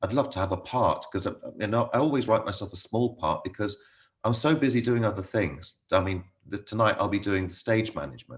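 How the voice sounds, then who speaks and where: A man talks at a fairly quick pace with a British accent. His voice is fairly low and somewhat breathy, with ordinary pitch variation, over a quiet background. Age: 60s. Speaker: local playwright and amateur actor. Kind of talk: casual interview chat. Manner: halting.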